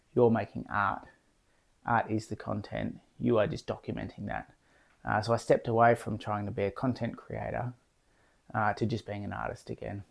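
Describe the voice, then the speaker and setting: A man mumbles, leaving long, frequent pauses. The recording is very clean, with a silent background. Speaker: artist vlogger. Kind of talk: casual vlog monologue. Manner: mumbling, jumbly; fast.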